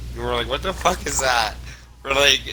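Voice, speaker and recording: Audible room echo with noticeable background noise. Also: man. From Canada. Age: 20s. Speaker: gamer. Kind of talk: casual chat. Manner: animated.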